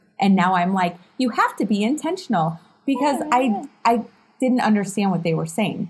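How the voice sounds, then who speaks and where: A woman speaks at a moderate pace with lively intonation. Her fairly high voice is somewhat breathy. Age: 30s. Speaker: realtor and podcast co-host. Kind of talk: casual chat.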